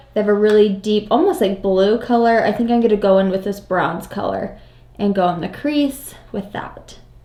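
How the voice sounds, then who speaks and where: Over noticeable background noise, a woman talks at a moderate pace in a fairly high pitch. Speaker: beauty vlogger. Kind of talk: casual makeup tutorial chat. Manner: loud.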